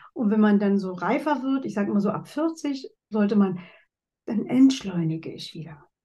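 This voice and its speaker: A woman speaks at a moderate pace in a medium pitch, her dark, mellow, somewhat breathy tone carrying very wide pitch swings and big swings in loudness. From East Germany. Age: 60s. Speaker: author and speaker, former palliative care nurse. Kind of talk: interview.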